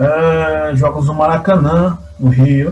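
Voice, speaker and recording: The man's voice comes across as somewhat breathy. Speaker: interviewer and host of an interview podcast. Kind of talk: interview host talk.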